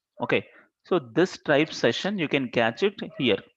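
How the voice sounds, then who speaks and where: The sound is dry and close with no echo as a man talks at a moderate pace with ordinary pitch variation. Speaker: programming instructor. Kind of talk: live coding class.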